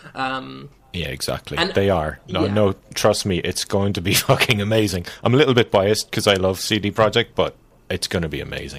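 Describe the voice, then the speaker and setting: A man's fairly low voice with vocal fry, lively intonation and a moderate pace. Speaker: podcast co-host. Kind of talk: casual, profane.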